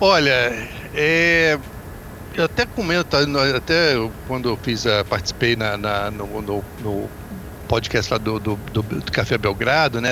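A man talks fairly slowly with noticeable background noise behind him. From Brazil, Volta Redonda (Rio de Janeiro state). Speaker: basketball commentator. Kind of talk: podcast sports discussion.

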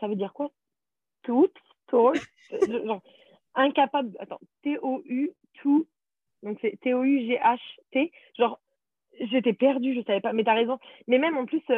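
A woman's high-pitched voice with lively intonation, a fairly slow pace and long, frequent pauses. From France, Paris region. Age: 20s. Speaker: former au pair, nanny. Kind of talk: interview.

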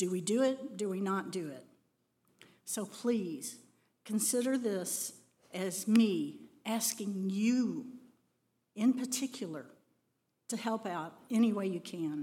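A somewhat breathy woman talks with an American accent at a very slow pace. Her pauses are long and frequent. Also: medium pitch for a woman. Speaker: church volunteer event co-leader. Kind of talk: church announcement. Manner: animated.

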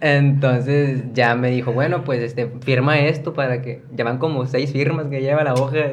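A man's medium-pitched, monotone, flat delivery at a moderate pace with hardly any pauses, audible room echo and noticeable background noise. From Mexico, Coahuila. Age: 20s. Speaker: content creator. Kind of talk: casual chat.

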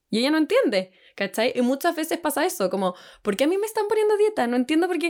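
With a Chilean accent, a woman talks at a very fast pace in an extremely high pitch with very wide swings, on a very clean recording with a silent background. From Chile, Santiago. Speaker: nutritionist. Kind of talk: podcast interview.

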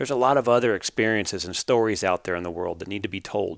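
A man with an American accent talks at a fairly quick pace in a medium pitch with ordinary pitch variation, recorded very cleanly against a silent background with a dry, close sound and no echo. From US Pacific Northwest, Canby, Oregon. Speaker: podcast host, professional team roper. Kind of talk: podcast introduction monologue.

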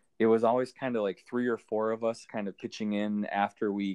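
A man with an Upper Midwest accent, medium pitch, ordinary pitch variation and a fairly quick pace, in a dry, close sound with no echo against a quiet background. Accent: Upper Midwest American. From Minnesota. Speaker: hockey stats volunteer. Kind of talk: interview.

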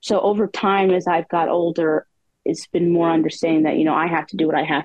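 A woman at a fairly quick pace, a normal speaking voice with fairly low pitch and fairly even intonation. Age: 20s. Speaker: poet with a rare disease. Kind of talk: casual interview.

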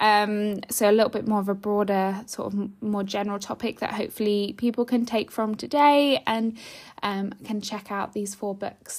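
At a moderate pace, a normal speaking voice comes through in a very clean recording with a silent background. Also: woman. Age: 20s. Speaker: podcast host, former teacher. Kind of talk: solo casual podcast monologue. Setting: home. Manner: chatty, frequent laughs and fillers.

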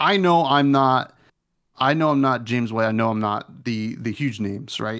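In a very clean recording with a silent background, a man talks at a moderate pace with ordinary pitch variation in an unremarkable speaking voice. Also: medium pitch for a man. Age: 30s. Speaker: podcast host guest. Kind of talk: casual chat.

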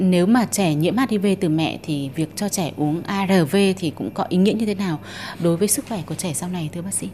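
Fairly low in pitch, a woman has a plain, everyday voice with ordinary pitch variation. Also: moderate pace. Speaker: reporter. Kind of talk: interview. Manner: formal.

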